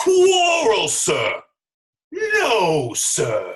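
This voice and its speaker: The pitch climbs extremely high. It's a put-on character voice. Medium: stage play. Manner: insistent, terse.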